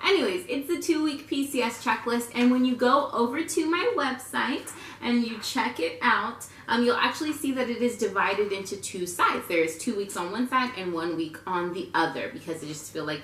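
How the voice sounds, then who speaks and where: A loud woman at a high pitch, with very wide pitch swings, a moderate pace and hardly any pauses, amid audible room echo and noticeable background noise. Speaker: lifestyle vlogger, military spouse. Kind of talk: casual tutorial vlog. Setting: at home, rocking her baby. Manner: casual, chatty.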